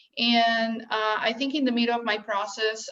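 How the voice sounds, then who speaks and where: In a Brazilian Portuguese accent, a woman speaks at a fairly high pitch with monotone, flat intonation. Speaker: bereaved mother sharing her story. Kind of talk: personal testimony. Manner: halting, many fillers.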